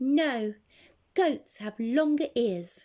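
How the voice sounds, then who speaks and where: A woman does a put-on character voice. Her pitch is high. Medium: read story.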